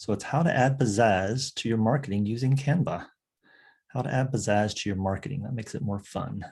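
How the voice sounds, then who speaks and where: Soft-spoken and somewhat breathy, a man talks at a fairly quick pace with ordinary pitch variation. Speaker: online course instructor. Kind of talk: tutorial. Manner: casual.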